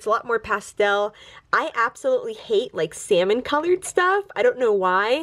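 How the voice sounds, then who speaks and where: Her high pitch makes very wide swings as this woman speaks. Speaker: toy collector YouTuber. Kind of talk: casual show-and-tell tour. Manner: chatty, many fillers.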